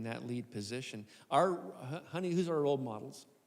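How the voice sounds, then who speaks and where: Audible room echo surrounds a man speaking at medium pitch and a moderate pace with ordinary pitch variation. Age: 60s. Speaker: lead pastor. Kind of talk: live podcast conversation on stage. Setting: stage with live audience.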